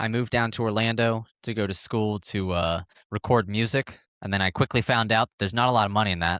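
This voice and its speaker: A man with an American accent and fairly low pitch speaks very fast with fairly even intonation. The sound is dry and close with no echo, over a quiet background. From Northern Virginia. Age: 20s. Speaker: live production technician and sim racer. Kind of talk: casual podcast chat.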